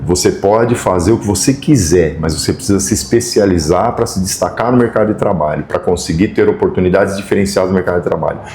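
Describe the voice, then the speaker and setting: Over noticeable background noise, a man with a fairly low pitch talks at a fairly quick pace with lively intonation. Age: 60s. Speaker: equipment rental company professional. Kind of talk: podcast interview. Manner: halting.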